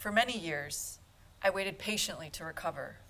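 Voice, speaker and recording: A woman's voice carries a bright, sharp tone. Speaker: medical student. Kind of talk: storytelling performance.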